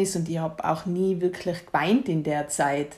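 A woman's fairly low-pitched voice. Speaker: guest sharing grief experience. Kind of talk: casual conversation. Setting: at home in the kitchen.

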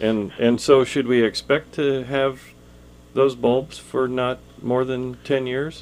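A man speaks with an American accent in a monotone, flat intonation. His pace is very slow. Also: medium pitch for a man. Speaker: radio garden show host. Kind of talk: casual radio chat. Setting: studio.

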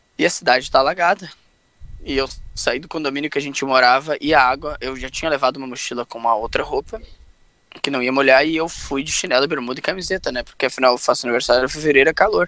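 Very fast and fairly high-pitched, a man speaks with big swings in loudness. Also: ordinary pitch variation. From Pelotas, southern Brazil. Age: 30s. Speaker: podcast co-host. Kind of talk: casual chat.

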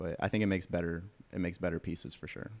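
Very deep, low male speech, its intonation fairly even. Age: 20s. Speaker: clothing designer. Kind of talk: casual chat. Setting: in the guest's studio.

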